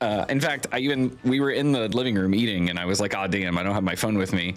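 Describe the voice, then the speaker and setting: Over music in the background, a man with a fairly low pitch talks at a very fast pace with ordinary pitch variation. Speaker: streamer. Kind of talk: casual chat. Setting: live stream.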